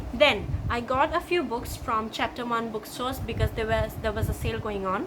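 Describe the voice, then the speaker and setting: A woman talks at a moderate pace in an Assam accent, with a fairly high pitch and ordinary pitch variation. Noticeable background noise runs underneath. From India, Assam. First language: Assamese. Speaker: booktuber. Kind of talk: book haul video. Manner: enthusiastic.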